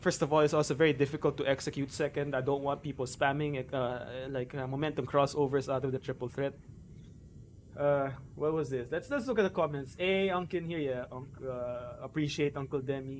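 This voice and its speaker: Speaking at a fairly quick pace, a man with a Filipino accent keeps a fairly high pitch and fairly even intonation. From Philippines. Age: 30s. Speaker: gaming streamer. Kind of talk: live stream Q&A and tutorial. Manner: talkative; natural, not a put-on YouTube voice.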